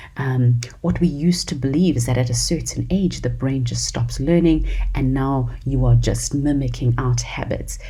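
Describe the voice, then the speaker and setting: At a moderate pace and with hardly any pauses, a woman with a South African accent talks through noticeable background noise and audible room echo. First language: isiZulu. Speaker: podcast host. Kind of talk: solo podcast talk. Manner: animated.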